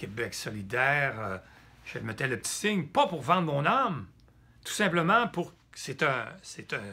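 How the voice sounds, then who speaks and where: Bright, sharp tone with vocal fry and very wide pitch swings at a fairly slow pace. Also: man, fairly high pitch for a man. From Quebec. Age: 70s. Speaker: political activist. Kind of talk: political address. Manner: halting.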